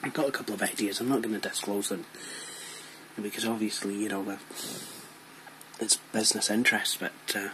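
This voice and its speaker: Quiet and at a fairly quick pace, a man with a Scottish accent speaks in a fairly low pitch with fairly even intonation and long, frequent pauses, over noticeable background noise. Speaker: tech YouTuber. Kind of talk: casual tutorial vlog. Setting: bedroom at home. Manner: very quiet, hushed; hesitant, many fillers.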